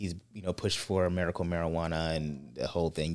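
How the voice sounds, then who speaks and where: A man's very deep, low voice comes through. He speaks at a very fast pace. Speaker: podcast host. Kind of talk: casual chat.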